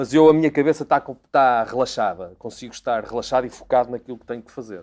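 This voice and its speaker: A man talks at a medium pitch, his pitch varying in an ordinary way. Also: very clean recording, silent background. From Portugal, Porto. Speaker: racing driver. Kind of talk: interview monologue. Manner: hesitant, repeats words.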